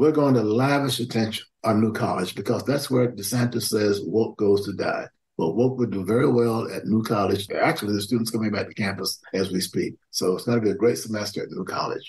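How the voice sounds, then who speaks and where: Fairly quick speech comes in a somewhat breathy voice. Its pitch varies in an ordinary way. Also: man, medium pitch for a man. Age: 80s+. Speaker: historian and activist. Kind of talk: interview. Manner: energetic, youthful-sounding.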